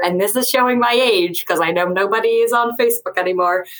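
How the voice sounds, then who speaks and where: Talking at a very fast pace, a woman speaks with an American accent. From US Northeast, Westchester County near New York City. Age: 20s. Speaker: author. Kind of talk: casual chat.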